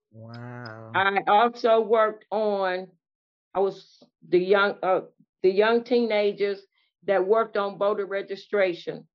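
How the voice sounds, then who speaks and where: At a very slow pace, a woman with an American accent speaks at medium pitch with ordinary pitch variation. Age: 70s. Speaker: community activist. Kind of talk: casual chat. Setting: video call.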